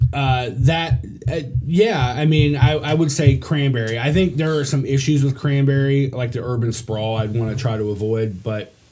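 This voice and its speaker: The speaker has an American accent and a dark, mellow, somewhat breathy tone. The pace is moderate, pitch varies in an ordinary way, and the room echo is audible. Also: man, medium pitch for a man. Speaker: local government commissioner. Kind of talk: casual podcast interview. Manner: talkative.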